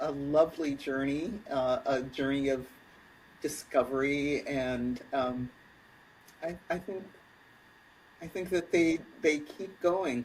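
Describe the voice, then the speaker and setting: Someone with an American accent speaks at a very slow pace with long, frequent pauses. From US Midwest, Kalamazoo, Michigan. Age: 60s. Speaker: speculative fiction writer and writing teacher. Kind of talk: podcast interview. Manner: halting, many fillers.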